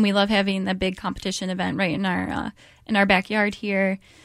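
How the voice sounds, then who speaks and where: This woman speaks very fast. Her voice sits at a medium pitch. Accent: American. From US Midwest, Detroit area, Michigan. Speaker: charity development director. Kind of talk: radio interview.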